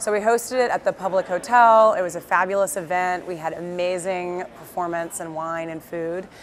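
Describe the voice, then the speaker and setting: A woman with an American accent speaks at a medium pitch. Noticeable background noise runs behind her. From US South, Birmingham, Alabama. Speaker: entrepreneur, company founder. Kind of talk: interview. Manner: casual with many fillers.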